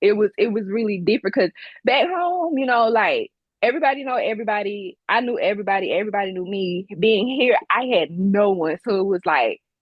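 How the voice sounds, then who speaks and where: A woman with a strong Deep South accent talks at a fairly high pitch and a fairly quick pace. Her intonation is lively. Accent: strong Southern twang, Mississippi-Alabama. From Mississippi, Gulfport. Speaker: business owner and military veteran. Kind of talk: casual interview.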